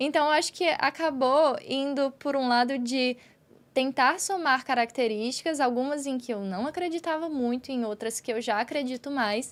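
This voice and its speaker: A woman with a high pitch at a moderate pace. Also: ordinary pitch variation. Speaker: podcast co-host. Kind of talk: casual chat.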